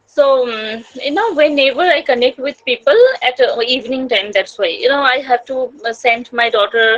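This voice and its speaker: A woman with a Bengali accent speaks at a moderate pace and a high pitch with ordinary pitch variation. The sound is dry and close, with no echo. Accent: Indian English, Bengali. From India, northern West Bengal. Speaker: homemaker, English learner, YouTuber. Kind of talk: casual chat. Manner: halting.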